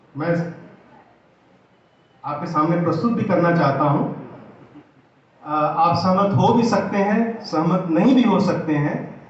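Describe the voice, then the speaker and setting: A high-pitched man with ordinary pitch variation and long, frequent pauses, amid noticeable background noise and audible room echo. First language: Awadhi (speaking Hindi). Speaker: Hindi literature academic. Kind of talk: lecture. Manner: formal.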